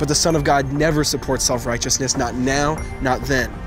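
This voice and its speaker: A man is talking at a moderate speed. Music can be heard behind him. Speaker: spoken word poet. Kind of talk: spoken word poetry performance.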